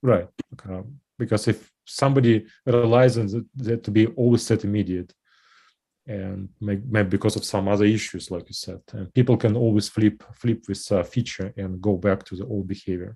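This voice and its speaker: Against a quiet background, a man speaks with a fairly low pitch, fairly even intonation, a dark, mellow tone and a somewhat breathy quality. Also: moderate pace, big swings in loudness. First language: not English. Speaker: software developer. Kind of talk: technical meeting discussion. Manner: halting.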